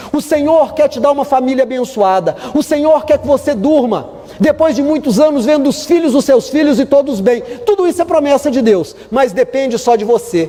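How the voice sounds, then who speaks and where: Noticeable background noise sits behind a man with an extremely high pitch who talks at a fairly quick pace. His tone is animated and his intonation lively. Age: 50s. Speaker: pastor. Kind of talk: sermon.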